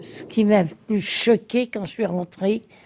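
A woman at a very slow pace amid noticeable background noise. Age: old. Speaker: nursing home resident on strike. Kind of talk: interview.

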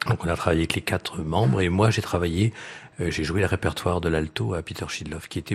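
A man's very deep, low voice with ordinary pitch variation and noticeable background noise. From France, Reims. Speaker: violist and string quartet teacher. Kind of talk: radio interview. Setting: live radio before audience in hotel. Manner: halting, many hesitations.

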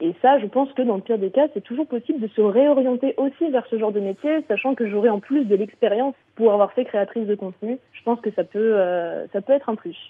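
Hardly pausing at all, a woman speaks in an unremarkable speaking voice, fairly high in pitch, with ordinary pitch variation. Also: fairly quick pace. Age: 30s. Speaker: content creator and streamer. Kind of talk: casual radio interview. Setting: radio show.

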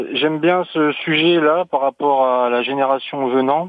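A man speaks in a plain, everyday voice. It sits at a medium pitch with ordinary variation. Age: 30s. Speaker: soldier. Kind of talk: radio call-in.

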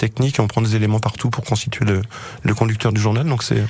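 Background noise is clearly present. Over it, a man talks very rapidly. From Clermont-Ferrand, France. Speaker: TV script supervisor and saxophonist. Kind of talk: radio interview.

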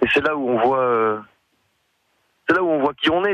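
In a dry, close sound with no echo, a man speaks with a bright, sharp tone and ordinary pitch variation. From French Basque Country. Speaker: singer-songwriter. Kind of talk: radio interview. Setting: phone call.

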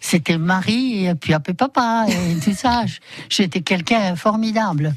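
A woman talks very slowly in a fairly low pitch, with ordinary pitch variation. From Poland. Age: 80s+. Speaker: bicycle shop owner. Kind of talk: radio interview. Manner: halting.

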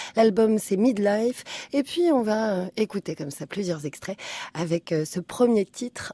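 Speaking very slowly at medium pitch, a woman uses lively intonation in a very clean recording with a silent background and a dry, close sound with no echo. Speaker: radio host. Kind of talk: radio show presenting. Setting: studio.

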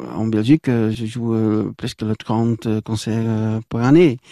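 A man with a dark, mellow tone and a medium pitch speaks at a very slow pace, with a dry, close sound with no echo against a quiet background. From Belgium, near Brussels. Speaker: guitarist and singer. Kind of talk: casual interview. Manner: halting.

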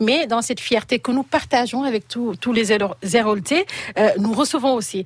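A woman with a plain, everyday voice speaks at a moderate pace. Her fairly high pitch moves with lively intonation. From Senegal, Casamance. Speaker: association president. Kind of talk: radio interview. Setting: studio.

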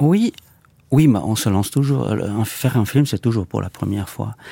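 A man with a Czech accent speaks fairly slowly at a fairly low pitch, with ordinary pitch variation. His tone is dark and mellow, and the sound is dry and close with no echo. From Czech Republic. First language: Czech (speaking French). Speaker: film director. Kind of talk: interview. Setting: studio. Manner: halting.

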